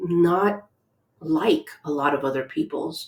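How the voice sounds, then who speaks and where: This is a woman speaking in a Spanish accent. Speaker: educator. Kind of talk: reflective talk. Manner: many filler ums.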